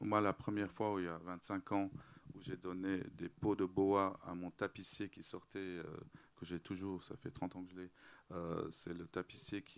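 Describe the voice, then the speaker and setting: With fairly even intonation, a man speaks in a very deep, low voice, recorded very cleanly against a silent background. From Lebanon, Beirut (Armenian family). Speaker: interior designer. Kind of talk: public panel talk.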